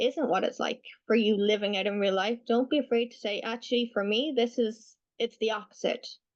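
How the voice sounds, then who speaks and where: A normal speaking voice from a woman, fairly high in pitch, at a moderate pace with ordinary pitch variation. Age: 20s. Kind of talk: webinar Q&A answer.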